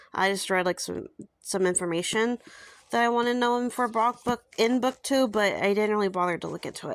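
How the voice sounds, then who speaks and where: A woman speaks at a fairly quick pace with a fairly high pitch and ordinary pitch variation. The recording is very clean, with a silent background. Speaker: book reviewer / YouTuber. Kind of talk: casual product review. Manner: fast, with many fillers.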